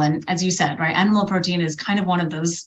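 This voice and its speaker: Through noticeable background noise and audible room echo comes a woman's voice at a medium pitch. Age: 40s. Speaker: women's health coach. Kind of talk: interview.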